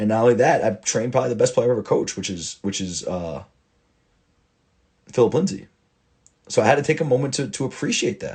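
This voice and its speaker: The voice is somewhat breathy and animated, with lively intonation at a very fast pace. Long, frequent pauses break it up against a quiet background. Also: man, medium pitch for a man. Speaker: football coach. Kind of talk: casual monologue.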